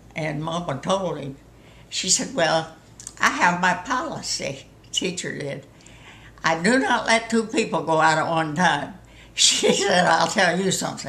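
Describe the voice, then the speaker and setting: In a room with audible echo, a woman with a Southern US accent speaks at a fairly slow pace and fairly low pitch, using lively intonation and long, frequent pauses. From US South. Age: 90s. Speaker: storyteller. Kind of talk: casual chat.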